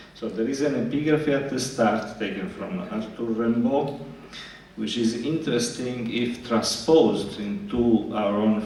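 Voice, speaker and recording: A man speaks at a medium pitch and a fairly slow pace. Noticeable background noise and audible room echo fill the recording. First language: Italian. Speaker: psychoanalyst. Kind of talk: lecture. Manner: halting, many fillers and repetitions.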